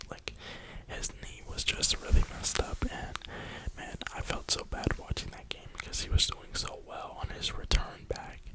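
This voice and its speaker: Someone whispers in an American accent at a moderate pace. Noticeable background noise is present. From New York (Brooklyn). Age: 20s. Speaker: ASMR creator. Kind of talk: whisper ramble. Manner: whispering.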